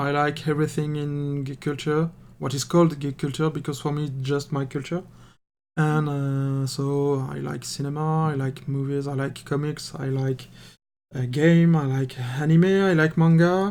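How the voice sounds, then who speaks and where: A man with a French accent at a moderate pace, fairly high-pitched, in a flat monotone, on a very clean recording with a silent background. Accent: French accent, speaking English. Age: 30s. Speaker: miniature painting hobbyist and game master. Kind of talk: casual chat. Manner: halting, many repetitions and fillers.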